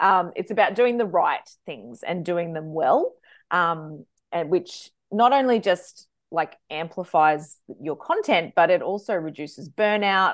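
A woman with an Australian accent, fairly low in pitch, at a moderate pace with ordinary pitch variation. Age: 40s. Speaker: social media manager. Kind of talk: interview.

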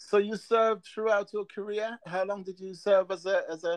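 A man's high-pitched voice at a moderate pace, dry and close with no echo. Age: 60s. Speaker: interviewer. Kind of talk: interview. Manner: halting.

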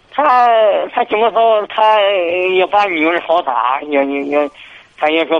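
Lively intonation at a moderate pace. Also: man. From Hebei, Xingtai. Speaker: radio call-in caller. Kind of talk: call-in advice conversation. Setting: phone call. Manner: halting. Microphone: too quiet on the line.

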